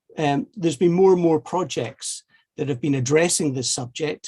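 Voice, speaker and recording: Speaking in a strong Scottish accent, a man keeps a moderate pace with ordinary pitch variation. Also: dry, close sound with no echo. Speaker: heritage network initiator. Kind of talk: seminar presentation. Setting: online video seminar. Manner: halting, many fillers and repetitions.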